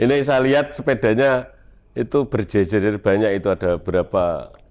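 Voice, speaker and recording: A man with a fairly low pitch has an ordinary speaking voice. He talks at a moderate pace with lively intonation. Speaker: podcast host. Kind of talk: interview. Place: garage. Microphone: lapel.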